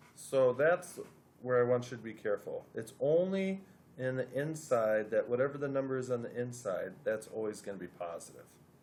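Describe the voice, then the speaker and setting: A man with an ordinary speaking voice at medium pitch and a moderate pace. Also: ordinary pitch variation. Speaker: math teacher. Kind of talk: tutorial.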